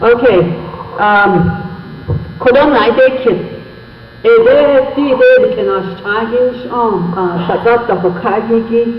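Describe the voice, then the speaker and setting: Speaking very slowly with long, frequent pauses, a man with an extremely high pitch and ordinary pitch variation is heard over noticeable background noise and audible room echo. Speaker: Navajo interpreter. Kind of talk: public meeting interpreting. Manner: halting.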